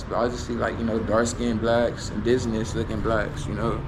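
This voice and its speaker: A man with an American accent delivers his words at a fairly quick pace, noticeable background noise and audible room echo around him. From United States. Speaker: travel vlogger. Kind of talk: casual vlog monologue. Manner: rambling with many fillers.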